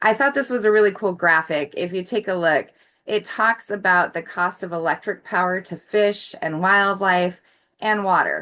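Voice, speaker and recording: A woman with an American accent, medium pitch and ordinary pitch variation, a bright, sharp tone, a moderate pace and a quiet background. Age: 40s. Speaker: clean energy advocate. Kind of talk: presentation with slides.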